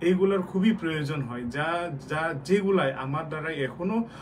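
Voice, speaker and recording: The man has a fairly high-pitched voice. Noticeable background noise and audible room echo come through. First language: Garo (Mandi) (speaking Bengali). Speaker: cultural organization president. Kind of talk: interview. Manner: halting.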